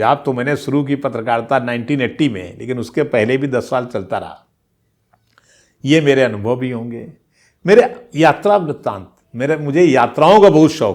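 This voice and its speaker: With an unremarkable speaking voice at a medium pitch, a man speaks with lively intonation and big swings in loudness in a very clean recording with a silent background. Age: 60s. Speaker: veteran journalist, channel host. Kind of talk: casual storytelling monologue.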